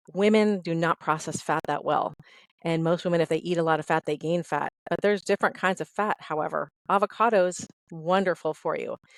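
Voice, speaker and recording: A woman speaks fairly quickly in a fairly low voice. The sound is dry and close with no echo, in a very clean recording with a silent background. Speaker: fitness instructor and trainer. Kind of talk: podcast interview. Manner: fast; animated.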